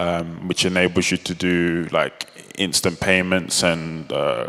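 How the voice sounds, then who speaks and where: Against noticeable background noise, a man speaks very slowly at a very deep, low pitch, his intonation monotone and flat. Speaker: open-source product manager, conference speaker. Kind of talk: conference talk. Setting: stage with audience. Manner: hesitant, many fillers.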